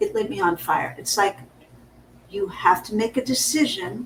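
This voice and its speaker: Her fairly high pitch carries vocal fry as the woman speaks. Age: 60s. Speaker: business coach. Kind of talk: casual chat.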